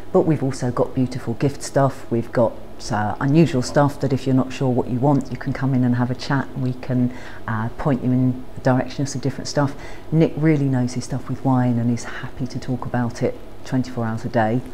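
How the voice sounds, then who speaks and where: With light background noise, a woman speaks at a fairly quick pace in a very deep, low voice with monotone, flat intonation. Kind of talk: casual interview-style chat. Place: shop. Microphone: phone near.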